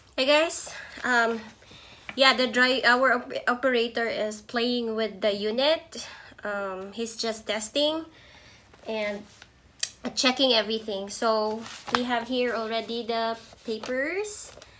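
A woman's bright, sharp tone at a slow pace, with audible room echo. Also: fairly high pitch for a woman, ordinary pitch variation.

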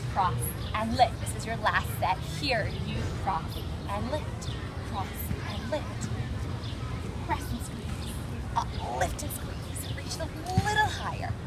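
Over loud background noise, a woman speaks at a very slow pace with long, frequent pauses. The sound is dry, with no echo. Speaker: fitness instructor. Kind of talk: guided workout instruction. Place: garden.

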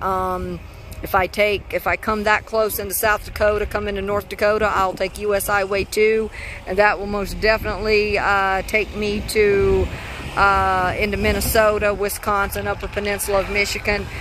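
Light background noise sits under speech at a moderate pace, the sound dry with no echo. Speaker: car-living road-trip vlogger. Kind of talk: casual vlog chat. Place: open country. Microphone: phone near.

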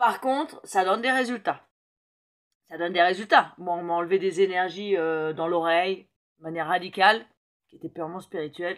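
Ordinary pitch variation over a quiet background. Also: woman. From Paris, France. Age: 50s. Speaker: metahypnosis practitioner. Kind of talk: casual talk to camera. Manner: hesitant, many fillers. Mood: enthusiastic, personal. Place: home room. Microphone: phone near.

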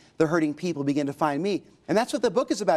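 Very fast speech from a man, with a quiet background. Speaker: pastor and author. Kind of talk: interview testimony. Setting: TV studio. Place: studio. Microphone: lapel.

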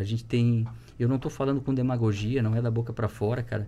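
Somewhat breathy and dark, mellow in tone, a man speaks fairly quickly at medium pitch in a monotone, flat delivery. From Santa Catarina, Brazil (Rio do Sul); Santa Catarina, Brazil. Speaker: teacher and municipal education secretary; podcast guest, teacher. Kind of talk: casual chat. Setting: studio. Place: studio.

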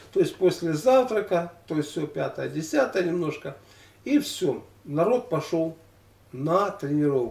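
Pausing long and often, a man speaks at a fairly slow pace in a high voice. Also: lively intonation. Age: 60s. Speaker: former weightlifter and health vlogger. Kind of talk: casual monologue of reminiscences. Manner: halting, with many fillers.

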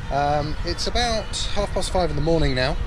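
Over noticeable background noise, a man's voice comes through dry, with no echo. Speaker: travel vlogger. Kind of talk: casual vlog chat. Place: street. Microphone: phone near.

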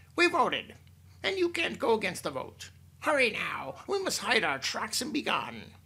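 A shrill, put-on character voice at a moderate pace, with very wide pitch swings. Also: man, extremely high pitch for a man. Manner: screeching, urgent.

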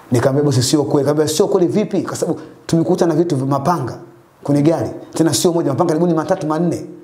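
A man talks at a very fast pace with fairly even intonation, and audible room echo surrounds his voice. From Dar es Salaam, Tanzania. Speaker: taxi driver; guest. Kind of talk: testimony. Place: home room. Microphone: lapel.

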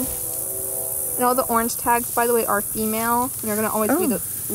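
Over noticeable background noise, a woman talks at a fairly quick pace with a dry sound and no echo. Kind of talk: casual explanation to a visitor. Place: open country. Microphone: camera far.

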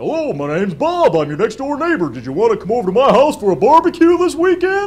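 In a cartoonish character voice at an extremely high pitch, a man rattles along at a very fast pace with hardly any pauses. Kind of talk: puppetry tutorial. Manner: friendly.

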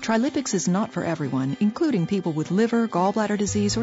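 With music in the background, a woman's voice moves through very wide pitch swings. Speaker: voice actor. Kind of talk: TV commercial read.

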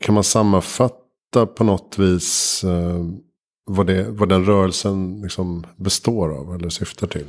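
A man speaks fairly slowly in a very deep, low voice. His pitch varies in an ordinary way. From Sweden, Vattholma (Uppsala area). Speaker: podcast host. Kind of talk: interview conversation; scripted show intro and outro. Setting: home kitchen studio. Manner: hesitant with many fillers.

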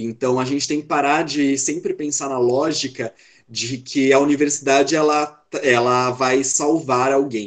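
A man with a fairly high pitch speaks fairly slowly in a monotone, flat way over a quiet background. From Brazil, São Paulo state. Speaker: medical student; speaker. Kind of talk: online talk. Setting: video call. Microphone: video call.

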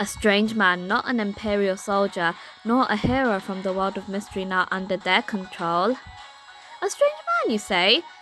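A woman talks at a moderate pace while music runs underneath. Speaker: gaming YouTuber. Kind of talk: reading game dialogue aloud.

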